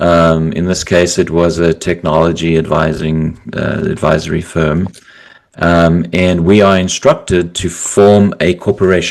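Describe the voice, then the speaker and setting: A man in a South African accent, with a very deep, low pitch, monotone, flat intonation and a fairly slow pace. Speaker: business founder, financial consultant. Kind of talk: podcast interview.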